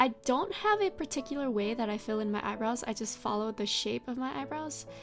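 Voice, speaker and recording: The speaker is soft-spoken, with music in the background. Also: woman, fairly quick pace. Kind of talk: casual makeup tutorial talk to camera.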